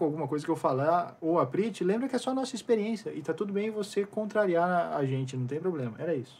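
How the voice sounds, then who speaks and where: At a very fast pace, a man with a high pitch talks in lively intonation over noticeable background noise. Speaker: podcast co-host. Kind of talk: casual chat.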